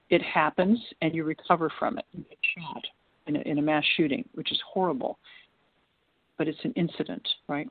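With an American accent and a fairly low pitch, a woman talks at a moderate pace, leaving long, frequent pauses. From United States. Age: 60s. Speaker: trafficking survivor and women's advocate. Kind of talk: interview.

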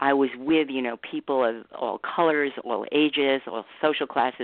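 Her very deep, low pitch stays on fairly even intonation as this woman speaks at a moderate pace. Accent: American. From New York City. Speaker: author. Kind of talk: interview.

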